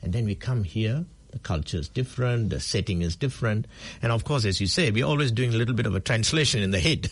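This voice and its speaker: Over a quiet background, a somewhat breathy voice races along at a very fast pace with lively intonation. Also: man, medium pitch for a man. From migrant to New Zealand. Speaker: radio host and English teacher. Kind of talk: radio interview.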